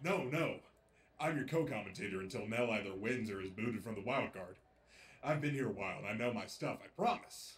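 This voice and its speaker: Putting on a character voice, a medium-pitched man mumbles at a fairly quick pace with lively intonation. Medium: audio drama. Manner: nervous, mumbling.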